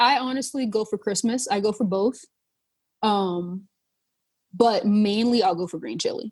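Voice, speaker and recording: A woman with an American accent speaks in a fairly high pitch, her tone dark, mellow and somewhat breathy. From North Charleston, South Carolina. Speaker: chef and food writer. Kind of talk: podcast interview answer, casual.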